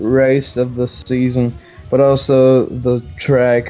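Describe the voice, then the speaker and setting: With music in the background, a man with a non-native accent speaks very slowly in a fairly high pitch. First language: not English. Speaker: sim racing commentator. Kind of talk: live commentary. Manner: halting.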